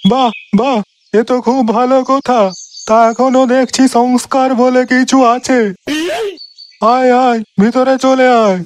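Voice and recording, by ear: The man uses a cartoonish character voice at an extremely high pitch, delivered at a moderate pace. His intonation stays monotone and flat.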